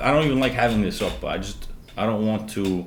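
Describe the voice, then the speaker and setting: There's a man talking here. His words carry audible room echo. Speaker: stock trading coach. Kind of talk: live trading tutorial. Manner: fast; animated.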